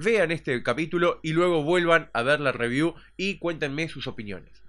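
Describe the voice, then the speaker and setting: A man's fairly high-pitched voice, bright and sharp in tone, at a fairly slow pace. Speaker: TV series reviewer. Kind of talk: casual talk to camera.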